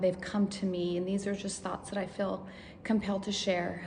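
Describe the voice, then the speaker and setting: Noticeable background noise and audible room echo both come through in this clip. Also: woman. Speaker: vlogger sharing brain tumor recovery. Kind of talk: personal testimony. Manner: halting, many fillers.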